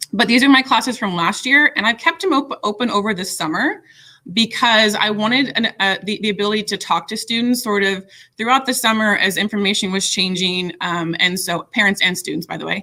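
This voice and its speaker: Here a woman speaks at a fairly high pitch. Her tone is bright and sharp. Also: ordinary pitch variation. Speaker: middle school teacher leading staff training. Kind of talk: software tutorial for colleagues. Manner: fast; casual with frequent fillers. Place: home room. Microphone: webcam.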